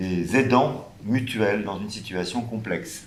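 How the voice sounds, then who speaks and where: A medium-pitched male voice with audible room echo. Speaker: round table panelist, health professional. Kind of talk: panel discussion. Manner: hesitant, many fillers.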